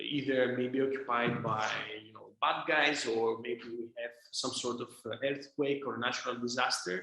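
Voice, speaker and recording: Monotone, flat intonation in a Greek accent at a moderate pace, with big swings in loudness. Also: man, medium pitch for a man. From Greece, Thessaloniki. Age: 20s. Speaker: drone company founder and CEO. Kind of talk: interview answer.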